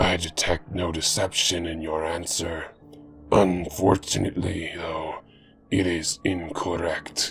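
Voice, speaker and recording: A man puts on a raspy character voice with a very deep, low pitch. Music is clearly audible in the background. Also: fairly slow pace. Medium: read story. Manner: cold, formal, measured.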